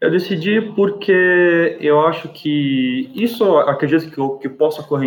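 A man speaks. His intonation is lively. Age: 20s. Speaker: university student. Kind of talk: casual podcast interview. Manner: halting, many repetitions.

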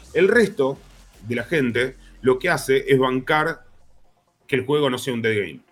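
A man with a medium-pitched voice talks at a fairly slow pace with lively intonation, leaving long, frequent pauses while music plays in the background. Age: 30s. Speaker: psychologist. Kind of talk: casual chat.

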